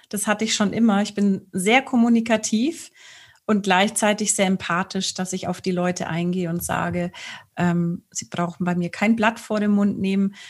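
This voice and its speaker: On a very clean recording with a silent background, a woman speaks at a moderate pace. Her voice is somewhat breathy, medium in pitch, with fairly even intonation. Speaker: sex coach and speech therapist. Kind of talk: casual interview. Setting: studio video recording.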